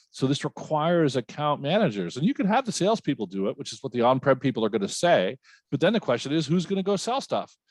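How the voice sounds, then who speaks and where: The speech moves at a very fast pace with very wide pitch swings. The sound is dry and close, with no echo. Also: man. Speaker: SaaS expert. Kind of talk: webinar discussion.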